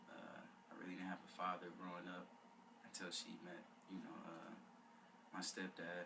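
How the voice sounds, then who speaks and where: A man with a very deep, low pitch speaks at a moderate pace, leaving long, frequent pauses. The room echo is audible. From Detroit, Michigan. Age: 18. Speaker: college student. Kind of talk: interview. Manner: hesitant, many uh.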